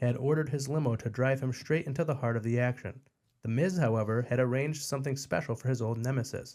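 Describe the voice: Plain reading aloud with ordinary pitch variation. The background is quiet.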